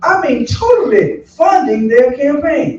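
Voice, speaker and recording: With noticeable background noise behind him, a man with an American accent speaks with very wide pitch swings. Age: 60s. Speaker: political candidate, retired pastor. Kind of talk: candidate forum answer.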